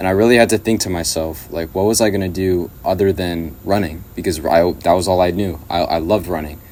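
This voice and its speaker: A man speaks in an American accent with a very deep, low pitch. He goes at a fairly quick pace with hardly any pauses. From Southern California, Riverside. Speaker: YouTube channel creator. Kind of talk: personal video message. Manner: casual, with fillers.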